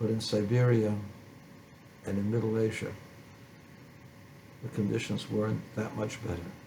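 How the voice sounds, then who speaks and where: Through audible room echo, a man's fairly low voice stays monotone and flat, with long, frequent pauses. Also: moderate pace. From born in a refugee camp in postwar Germany. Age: 70s. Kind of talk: personal testimony.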